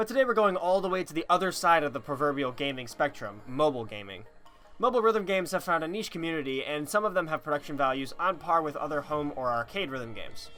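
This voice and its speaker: Against music in the background, a man talks at a very fast pace and a fairly high pitch. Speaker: gaming video creator. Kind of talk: game review voiceover.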